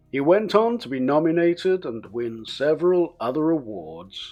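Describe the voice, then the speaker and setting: With music in the background, a man speaks at fairly high pitch with very wide pitch swings and a fairly slow pace. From England. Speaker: English teacher. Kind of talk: educational biography narration. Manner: clear, measured.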